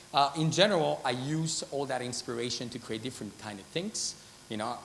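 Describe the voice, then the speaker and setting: A man with a Spanish accent at a fairly quick pace. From Spain, Madrid. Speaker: artist and designer. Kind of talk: conference talk. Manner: hesitant, many fillers.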